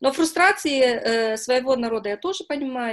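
A woman's normal speaking voice at a moderate pace, with lively intonation over a quiet background. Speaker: newspaper interviewer. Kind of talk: interview.

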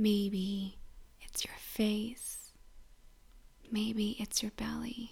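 Very slowly and with long, frequent pauses, a woman speaks in a calm, soothing, somewhat breathy voice at a fairly high pitch, her intonation monotone and flat. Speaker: grief support host and guide. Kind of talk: guided meditation (body scan). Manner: slow, soothing, gentle, with long pauses; soft-spoken, calm, tender.

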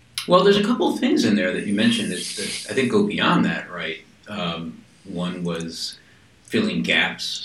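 Moderate pace over noticeable background noise. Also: man. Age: 50s. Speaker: podcast host. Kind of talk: interview.

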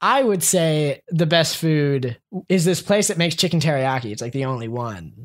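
A man with an American accent and an unremarkable speaking voice talks at a moderate pace and fairly high pitch, with lively intonation. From Columbia, Maryland, US. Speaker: podcast guest. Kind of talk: casual chat.

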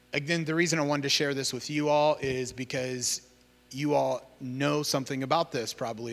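In an ordinary speaking voice, a man with an American accent talks at a moderate pace with ordinary pitch variation. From Iowa, US Midwest. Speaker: missionary working with refugees. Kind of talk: church talk about ministry. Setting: church service.

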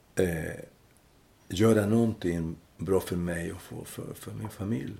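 A man's very deep, low voice with a Chilean accent, vocal fry and a dark, mellow tone, very slow pace and ordinary pitch variation. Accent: Chilean Spanish accent in Swedish. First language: Spanish (speaking Swedish). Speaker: former political refugee. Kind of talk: interview. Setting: at home. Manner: halting.

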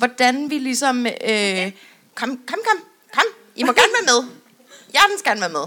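With long, frequent pauses, a woman talks at a moderate pace in a high voice. Her pitch swings very widely, and her loudness rises and falls by large amounts. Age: 20s. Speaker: podcast co-host. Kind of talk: live podcast panel talk. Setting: stage with audience.

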